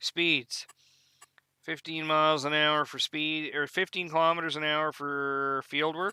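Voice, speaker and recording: With an East Coast Canadian accent, a man talks at a fairly slow pace in a fairly high pitch, his bright, sharp tone delivered in monotone, flat intonation with a dry, close sound and no echo. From Canada. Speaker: gaming YouTuber. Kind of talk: gameplay tutorial. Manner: casual, hesitant with fillers.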